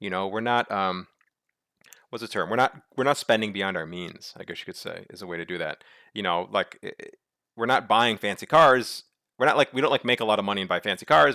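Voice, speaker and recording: In a very clean recording with a silent background and a dry, close sound with no echo, a man with an American accent speaks very fast at a fairly low pitch, his tone bright and sharp, with ordinary pitch variation and big swings in loudness. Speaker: local politics commentator. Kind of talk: presentation walkthrough of data. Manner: halting with repetitions and fillers.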